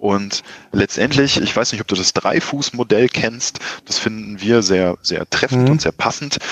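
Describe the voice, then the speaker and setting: An unremarkable speaking voice from a man at a medium pitch and a fairly slow pace, with ordinary pitch variation and a dry, close sound with no echo. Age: 30s. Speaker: entrepreneur, marketing agency owner. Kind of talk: interview.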